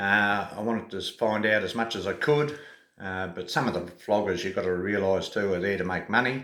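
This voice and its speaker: A fairly low-pitched man with an Australian accent, a bright, sharp tone, ordinary pitch variation, a moderate pace and audible room echo. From Australia (Tasmania). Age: 60s. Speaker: travel vlogger. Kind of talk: casual vlog monologue. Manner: hesitant, many fillers.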